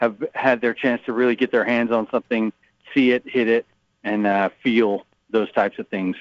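Using a normal speaking voice at medium pitch, a man talks at a fairly slow pace. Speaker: golf shaft sales director. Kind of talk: interview. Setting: trade show in Orlando.

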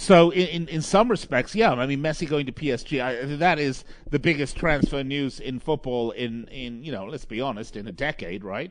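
Using an unremarkable speaking voice, a man talks at a moderate pace with hardly any pauses, his fairly high pitch carrying lively intonation and big swings in loudness. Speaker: radio host. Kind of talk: live sports radio show. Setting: studio. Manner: chatty, filler-heavy.

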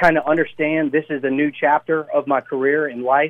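At a fairly quick pace comes an ordinary speaking voice. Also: man. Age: 20s. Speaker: race car driver. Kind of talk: radio interview. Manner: casual, filler-heavy.

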